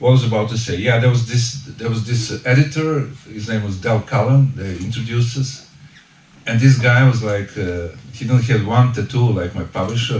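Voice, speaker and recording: A man with a Serbian accent speaks at a moderate pace and medium pitch. His pitch varies in an ordinary way, with noticeable background noise behind him. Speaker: author. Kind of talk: book launch talk. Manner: halting.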